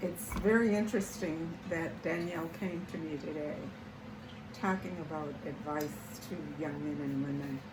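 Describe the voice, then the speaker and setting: A woman with a fairly low voice speaks at a fairly slow pace. Audible room echo and noticeable background noise surround her words. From US South. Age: 80s+. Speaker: lifestyle YouTuber. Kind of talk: casual talk. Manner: halting.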